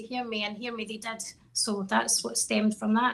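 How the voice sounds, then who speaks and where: A woman talks with a Scottish accent. Her pitch is fairly high and her pace fairly quick. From Scotland, Stirling. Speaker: country singer-songwriter. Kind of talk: interview.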